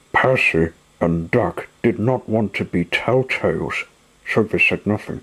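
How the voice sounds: Lively intonation in a natural reading voice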